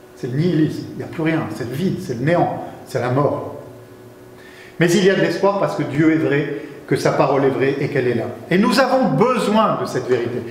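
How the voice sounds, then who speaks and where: A man speaks fairly quickly at a fairly high pitch, with very wide pitch swings and long, frequent pauses, in a room with audible echo and noticeable background noise. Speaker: guest preacher. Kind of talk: sermon.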